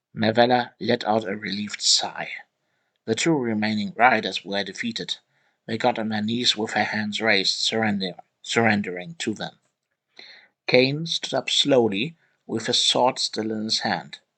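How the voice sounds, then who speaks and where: A man with a non-native accent, medium in pitch, with a bright, sharp tone, ordinary pitch variation and a moderate pace over a quiet background. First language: not English. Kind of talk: reading aloud. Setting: live online voice session. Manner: halting, self-correcting.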